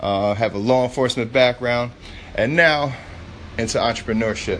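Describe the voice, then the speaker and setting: With an American accent, a man speaks at a moderate pace and a medium pitch. His pitch varies in an ordinary way, and there is noticeable background noise. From New York City. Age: 30s. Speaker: podcast host, former law enforcement, entrepreneur. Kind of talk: casual podcast intro monologue. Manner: casual, filler-heavy.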